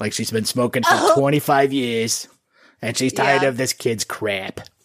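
A man's raspy, put-on character voice at a medium pitch and moderate pace. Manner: tired, exasperated.

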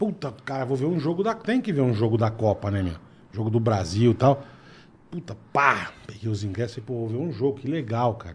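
A man talks at a moderate pace with a medium pitch and lively intonation. He has an unremarkable speaking voice. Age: 50s. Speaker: podcast co-host. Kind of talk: casual chat.

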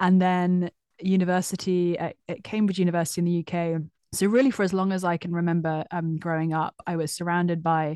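The woman speaks at a moderate pace and fairly low pitch, with fairly even intonation. The sound is dry and close with no echo, against a quiet background. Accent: British. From UK. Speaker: author. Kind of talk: casual interview.

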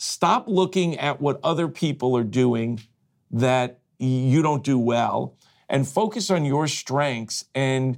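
On a very clean recording with a silent background, a man uses a plain, everyday voice and lively intonation. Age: 60s. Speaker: franchise company executive. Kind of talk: casual interview. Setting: studio.

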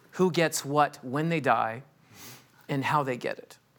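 A man with a Californian accent, fairly high pitch, ordinary pitch variation and a fairly slow pace, on a very clean recording with a silent background. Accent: Californian American. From Los Angeles. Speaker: estate planning attorney. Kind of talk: interview.

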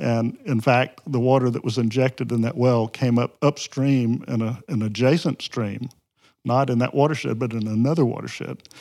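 Speaking with a Southern US accent, a man has a dark, mellow tone and fairly even intonation at a moderate pace. The recording is very clean, with a silent background. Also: medium pitch for a man. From Mississippi Delta, US South. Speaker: environmental advocacy group president. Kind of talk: interview.

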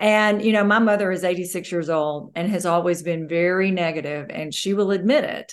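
Against a quiet background, a woman with a Southern US accent talks at a moderate pace with ordinary pitch variation. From US South, North Mississippi. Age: 60s. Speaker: motivational speaker. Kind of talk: interview.

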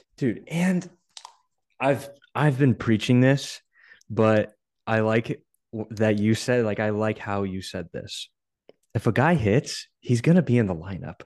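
A man at a medium pitch, with lively intonation, at a fairly slow pace with long, frequent pauses, in a dry, close sound with no echo and a quiet background. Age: 20s. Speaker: podcast host and college baseball player. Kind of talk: casual interview. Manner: animated.

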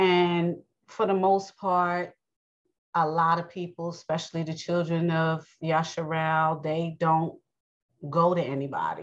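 A woman speaks in a New York accent at a fairly slow pace. Her pitch is fairly low and her intonation monotone and flat. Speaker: religious podcast host. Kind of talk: bible teaching monologue. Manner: casual, conversational; halting, many fillers.

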